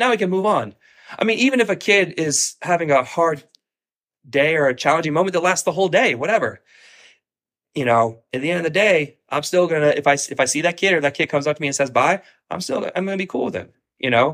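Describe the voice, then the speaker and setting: A man with a high pitch and an American accent talks at a very fast pace in a very clean recording with a silent background. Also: lively intonation. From Ohio, US Midwest. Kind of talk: casual chat.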